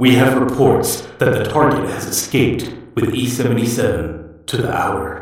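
A man's put-on character voice at a medium pitch, fairly slow in pace, with strong echo. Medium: audio drama.

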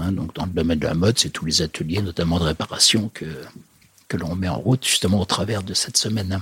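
A man's very deep, low voice, very fast, with ordinary pitch variation and a dry, close sound with no echo. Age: 60s. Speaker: federation president, social enterprise leader. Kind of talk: interview. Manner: hesitant, many fillers.

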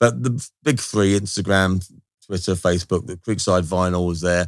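A man's very deep, low voice with fairly even intonation, on a very clean recording with a silent background. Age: 50s. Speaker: record shop owner. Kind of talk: casual interview. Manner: hesitant, many fillers and repetitions.

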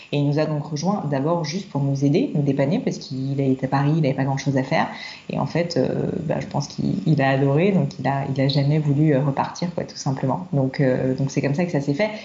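Through noticeable background noise, a woman with a very deep, low pitch speaks fairly quickly with ordinary pitch variation. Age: 30s. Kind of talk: casual chat. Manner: hesitant, with fillers and repetitions.

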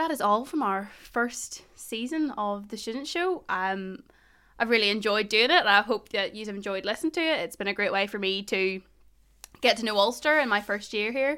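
A woman with a slight Northern Irish accent speaks at a moderate pace and a fairly high pitch. Her tone is bright and sharp, her intonation lively. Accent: Northern Irish, Ballymena, slight. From Northern Ireland. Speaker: student union podcast host. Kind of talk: casual chat. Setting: recording from home bedroom, remote.

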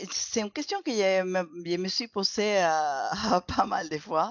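A woman speaks with a Spanish accent. Her intonation is lively. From Venezuela. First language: Spanish (speaking French). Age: 50s. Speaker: former dentist, clinical research associate. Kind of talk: interview. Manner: halting, with many repetitions.

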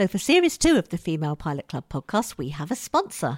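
Speaking at a fairly quick pace in a British accent, a woman makes very wide pitch swings, the recording very clean with a silent background and a dry, close sound with no echo. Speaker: podcast host and comedy writer. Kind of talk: casual interview with scripted intro. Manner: playful, jokey.

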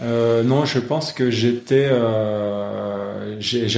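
Through audible room echo, a man of medium pitch speaks with fairly even intonation. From France, Lyon area. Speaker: national kayak coach. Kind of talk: interview. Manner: halting, many repetitions and fillers.

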